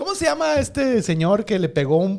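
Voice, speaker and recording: With a Mexican accent, a man speaks at a fairly slow pace, his intonation lively. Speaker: podcast co-host. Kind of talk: casual chat.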